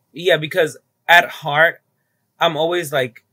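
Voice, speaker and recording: A man talks at a fairly slow pace in a Spanish accent, with a bright, sharp tone. The sound is dry and close, with no echo. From Dominican Republic, rural small town, moved to New York City at nine. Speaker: drag queen. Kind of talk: casual interview.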